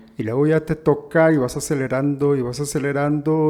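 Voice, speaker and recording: Here a man speaks in a dark, mellow tone. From Guatemala. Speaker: radio announcer, sports commentator. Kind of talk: podcast interview answer, casual conversation.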